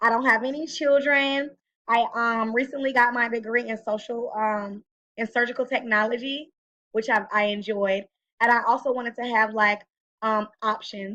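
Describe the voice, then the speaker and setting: A woman speaks with a fairly high pitch and a bright, sharp tone at a moderate pace. Her intonation is fairly even, and the background is quiet. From Texas, Killeen. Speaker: college student. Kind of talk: self-introduction recording. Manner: hesitant, many fillers.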